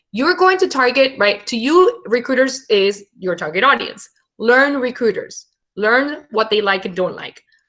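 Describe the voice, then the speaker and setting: A woman with a Venezuelan accent speaks at a fairly slow pace and a high pitch. Her pitch swings very widely. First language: Spanish. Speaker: internship program head and brand storyteller. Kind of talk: webinar talk and Q&A. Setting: live webinar.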